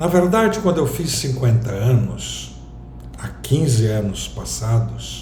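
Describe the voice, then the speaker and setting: Noticeable background noise and audible room echo are present. A man talks very slowly through it. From southern Brazil, Rio Grande do Sul. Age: 60s. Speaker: vlogger. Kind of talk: personal reflective monologue.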